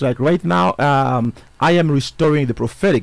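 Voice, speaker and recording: A man's voice with very wide pitch swings, dry and echo-free, against a quiet background. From DR Congo. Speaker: self-styled prophet, church founder. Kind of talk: interview. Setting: radio studio. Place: studio. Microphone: studio mic.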